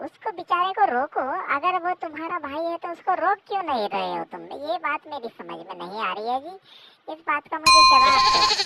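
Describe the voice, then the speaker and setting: This female-sounding voice is a cartoonish character voice at an extremely high pitch. It moves at a moderate pace. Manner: scolding, indignant.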